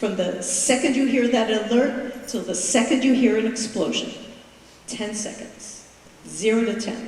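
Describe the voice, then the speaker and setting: A woman with an American accent talks at a fairly slow pace, her pitch fairly high and her intonation fairly even. The recording has audible room echo and noticeable background noise. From USA. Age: 60s. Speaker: October 7th survivor, retired English teacher. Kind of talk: testimony.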